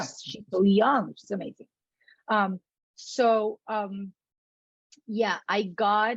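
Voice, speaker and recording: Very slow and somewhat breathy, the voice keeps fairly even intonation with long, frequent pauses in a dry, close sound with no echo. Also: woman, fairly high pitch for a woman. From Puerto Rico. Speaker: actor. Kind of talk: interview answer.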